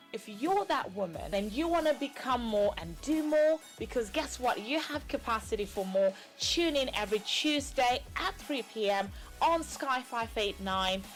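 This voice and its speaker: Over music in the background, someone speaks at a fairly slow pace with lively intonation. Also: woman. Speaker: talk show host. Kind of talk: TV talk show intro.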